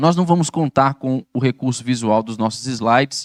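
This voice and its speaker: In a plain, everyday voice, a man speaks at a fairly slow pace, medium in pitch with ordinary pitch variation. The recording is very clean with a silent background, and the sound is dry and close with no echo. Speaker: pastor. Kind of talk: bible study lecture. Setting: church.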